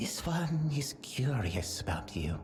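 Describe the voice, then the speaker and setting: A put-on character voice with clear background noise. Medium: game stream. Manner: speaks of itself in third person, stilted.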